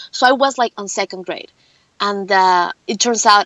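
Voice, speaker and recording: A woman with a Mexican accent speaks at a medium pitch. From Mexico. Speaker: film producer and actress. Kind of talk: interview.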